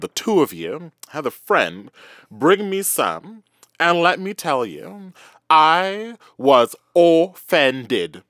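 In a dry, close recording with no echo and a silent background, a man with a fairly high pitch sounds animated, his voice making very wide pitch swings on this very clean track. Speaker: podcast co-host. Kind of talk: casual chat, comedic banter. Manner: animated, sassy, expressive.

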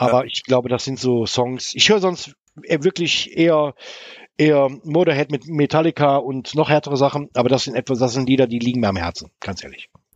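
Here a man speaks with a fairly high pitch. His pitch varies in an ordinary way. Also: fairly quick pace. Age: 50s. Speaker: woodworking YouTuber and community co-founder. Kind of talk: casual interview chat. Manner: halting, many fillers.

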